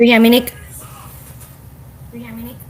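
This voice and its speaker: This is a woman speaking with a Thai accent. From Thailand. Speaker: speaker, business team leader. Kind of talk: motivational speech, personal story.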